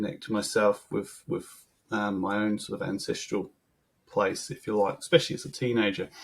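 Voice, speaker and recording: The speaker talks at a moderate pace with a slight English accent. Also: man. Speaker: brewer. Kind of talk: podcast interview. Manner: hesitant, many ums.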